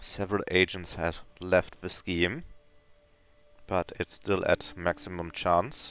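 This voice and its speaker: A man with a German accent speaks very slowly. The sound is dry and close, with no echo. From Germany. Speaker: video game streamer. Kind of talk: live gameplay commentary. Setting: live stream with chat.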